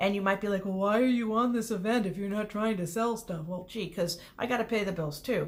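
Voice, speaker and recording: Audible room echo surrounds a woman speaking at a medium pitch with fairly even intonation. She moves at a fairly quick pace with hardly any pauses. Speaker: small business owner and online creator. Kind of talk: casual self-introduction video. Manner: loud; rambling stream of consciousness.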